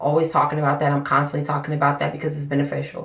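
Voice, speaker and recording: A woman speaks with a very deep, low pitch, and the room echo is audible. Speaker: hair care vlogger. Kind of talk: casual vlog talk. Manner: slightly slurred, tongue-tied.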